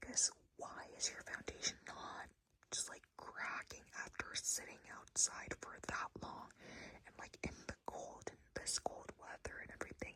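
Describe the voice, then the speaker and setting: Whispering at a fairly slow pace, a woman lets her loudness swing widely. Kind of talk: ASMR makeup tips talk to camera. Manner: whispered, soft, sleepy.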